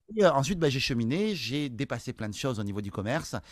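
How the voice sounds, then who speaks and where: The recording is very clean, with a silent background. A man talks at a fairly quick pace and a medium pitch. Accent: Toulouse. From France, Toulouse countryside. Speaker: sales trainer and entrepreneur. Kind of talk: interview. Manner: hesitant, many fillers.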